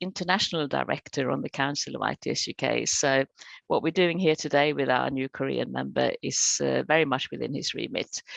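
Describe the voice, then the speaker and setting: A woman with a Swedish accent at a moderate pace, in a dry, close sound with no echo. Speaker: webinar moderator. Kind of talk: webinar hosting.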